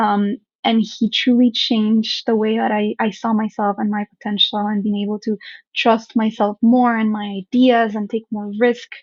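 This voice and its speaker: Monotone, flat intonation, somewhat breathy, with a Spanish accent and a moderate pace. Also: woman, fairly high pitch for a woman. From Colombia. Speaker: startup founder. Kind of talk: interview.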